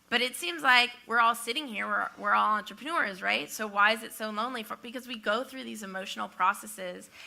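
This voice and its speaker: Hardly pausing, a woman talks at a fairly quick pace in a fairly high, bright, sharp voice with vocal fry, lively intonation and big swings in loudness. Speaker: entrepreneur. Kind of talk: panel discussion. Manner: halting.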